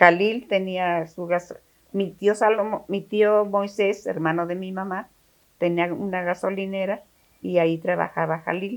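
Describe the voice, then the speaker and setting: A woman speaks at a fairly slow pace with a medium pitch. Her intonation is monotone and flat. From Mexico, Taxco (Guerrero). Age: 90s. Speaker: interviewee recounting family history. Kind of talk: interview. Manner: halting.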